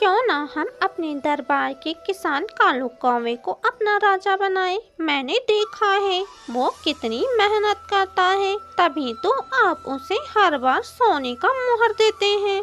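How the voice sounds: A female-sounding cartoonish character voice, extremely high in pitch, speaks at a fairly slow pace over clear music in the background.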